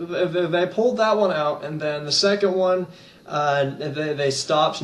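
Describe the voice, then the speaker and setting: Noticeable background noise and audible room echo accompany a man talking at a fairly slow pace with ordinary pitch variation. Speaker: gaming YouTuber. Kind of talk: casual vlog monologue. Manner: hesitant, many fillers and repeats.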